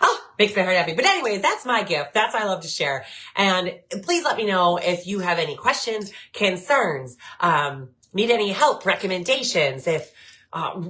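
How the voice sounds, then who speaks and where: A woman at medium pitch and moderate pace, lively intonation, over noticeable background noise. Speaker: podcast host and hemp grower. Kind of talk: casual monologue. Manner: animated.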